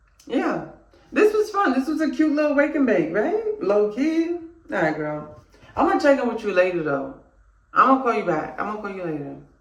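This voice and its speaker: A woman speaks fairly quickly in a high voice with very wide pitch swings. Audible room echo and noticeable background noise are present. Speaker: vlogger. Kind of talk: casual vlog chat. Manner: rambling, talkative.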